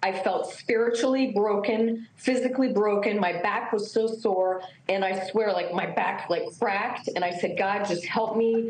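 Speech at a moderate pace with hardly any pauses comes through audible room echo and light background noise. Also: woman, fairly high pitch for a woman. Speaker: former beauty pageant contestant. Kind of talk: TV interview, personal testimony. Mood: emotional, tearful recounting. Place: home room. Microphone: video call.

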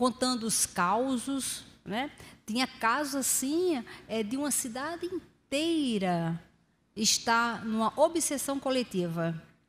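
A woman talks with a high pitch. Her pace is very slow. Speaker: lecturer. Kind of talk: religious lecture. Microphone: studio mic.

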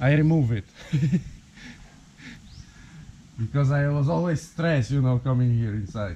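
Over light background noise, a man speaks with lively intonation in a somewhat breathy voice. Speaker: homeowner vlogger. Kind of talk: casual vlog chat. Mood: slightly tense, recounting. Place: garage. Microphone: phone near.

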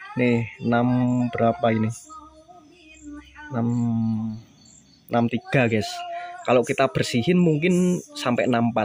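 Very slowly, the words come out against faint background noise. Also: dry sound with no echo. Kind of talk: tutorial commentary. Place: workshop. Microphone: phone near.

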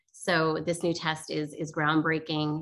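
In an American accent, a woman is talking. Her voice sits at a very deep, low pitch. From New Jersey. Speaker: company executive. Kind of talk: interview. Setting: video call. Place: home room. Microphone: video call.

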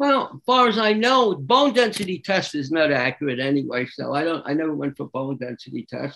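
A man with a bright, sharp tone talks at a fairly quick pace, with hardly any pauses and very wide pitch swings. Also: fairly high pitch for a man. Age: 80s+. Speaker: raw food diet expert; interview guest. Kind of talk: interview. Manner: conversational, frequent filler phrases. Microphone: video call.

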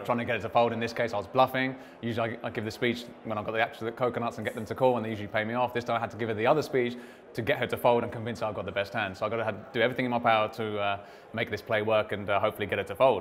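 Delivered at a very fast pace with monotone, flat intonation, the speech comes in a British accent over light background noise. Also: man. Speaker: poker player. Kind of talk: interview answer. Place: hall. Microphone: lapel.

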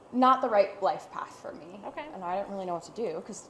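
A woman talks with ordinary pitch variation. There is audible room echo and light background noise. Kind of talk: interview answer. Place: workshop.

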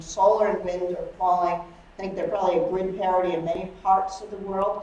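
Talking at a fairly quick pace, a woman is heard with audible room echo and light background noise. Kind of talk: lecture. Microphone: camera far.

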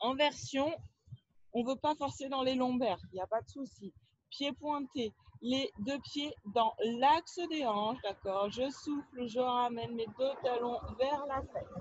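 The sound is dry with no echo as a woman talks at a very slow pace. Her voice is high, with ordinary pitch variation. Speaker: fitness instructor. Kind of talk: exercise tutorial. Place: open country.

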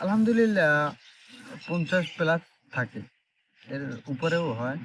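Lively intonation from a man with an unremarkable speaking voice. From Bangladesh, Barguna (Patharghata). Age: 20s. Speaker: migrant worker. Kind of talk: interview.

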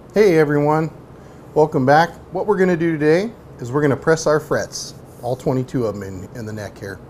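A man at a moderate pace against loud background music. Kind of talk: tutorial. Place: garage.

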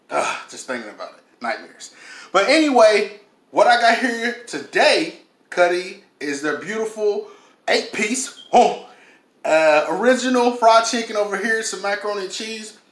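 There is audible room echo around a man speaking at a moderate pace. His loudness swings in big jumps. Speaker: food reviewer. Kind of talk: casual vlog chat. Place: kitchen.

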